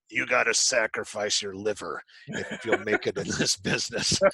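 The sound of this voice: A man puts on a gruff, raspy character voice at a moderate pace, the sound dry and close with no echo.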